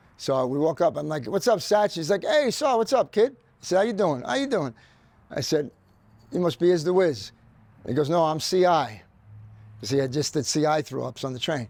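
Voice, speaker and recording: Talking at a fairly quick pace with long, frequent pauses, a man with a New York accent has a fairly high pitch and very wide pitch swings. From New York City (Queens). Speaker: graffiti artist. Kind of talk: casual interview chat.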